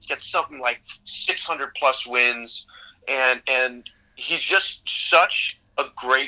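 This man has a Chicago accent and a fairly high pitch. His tone is bright and sharp, with ordinary pitch variation. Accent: Chicago American. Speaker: basketball coach and trainer. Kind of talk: casual chat.

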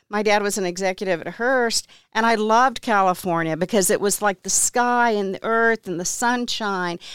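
At a moderate pace with hardly any pauses, a woman with an American accent speaks in a normal speaking voice of medium pitch, with fairly even intonation and a dry, close sound with no echo in a very clean recording over a silent background. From Texas. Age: 60s. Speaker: interior designer and real estate investor. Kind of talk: interview. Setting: studio.

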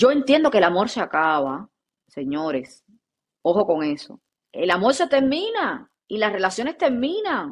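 A woman with a fairly high pitch and vocal fry speaks at a fairly slow pace. Her tone is animated, with very wide pitch swings. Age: 30s. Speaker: podcast co-host. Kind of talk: casual chat.

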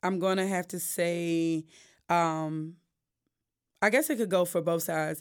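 On a very clean recording with a silent background, a woman with an American accent speaks fairly slowly at a fairly low pitch, with fairly even intonation and long, frequent pauses. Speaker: solo singer and pastor's wife. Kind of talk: casual interview chat.

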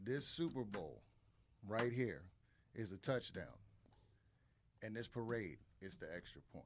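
At a fairly slow pace, a man with medium pitch and vocal fry uses lively intonation, leaving long, frequent pauses. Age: 40s. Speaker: military veteran, sports fan. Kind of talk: casual chat. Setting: studio.

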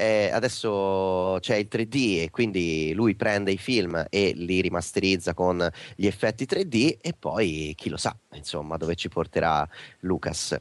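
A man speaks at a very slow pace in a very deep, low pitch. His pitch varies in an ordinary way over a quiet background. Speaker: geek culture guest. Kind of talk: casual interview.

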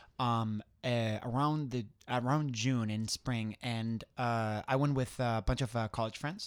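Recorded very cleanly against a silent background, a man with a Spanish accent speaks at medium pitch, the sound dry and close with no echo. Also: fairly even intonation, fairly slow pace. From southwestern Spain. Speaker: competitive skydiver. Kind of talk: casual interview. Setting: studio. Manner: halting, many fillers.

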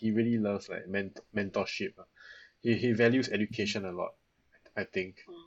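A man talks in a plain, everyday voice at a medium pitch, keeping a fairly quick pace and fairly even intonation. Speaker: architectural designer. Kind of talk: casual chat.

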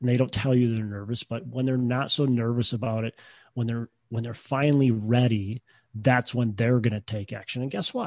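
A man's normal speaking voice at a medium pitch and moderate pace, with fairly even intonation, a dry, close sound with no echo and a quiet background. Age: 30s. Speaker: real estate investor, former shop teacher. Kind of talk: interview.

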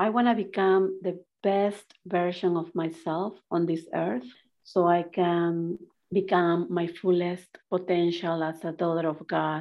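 Intonation remains fairly even throughout. The delivery is fairly slow. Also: woman, fairly low pitch for a woman. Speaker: transformational coach. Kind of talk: interview.

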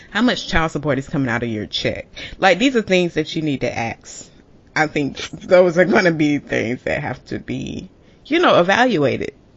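Moving at a moderate pace, a woman with a fairly low pitch makes very wide pitch swings. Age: 20s. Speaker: podcast co-host. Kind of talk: casual chat.

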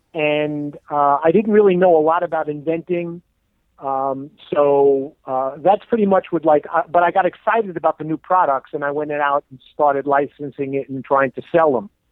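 With a New York accent, a man talks at a fairly high pitch with ordinary pitch variation. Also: moderate pace. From New York, Brooklyn and Long Island. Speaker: inventor. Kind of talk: interview. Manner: halting, many fillers.

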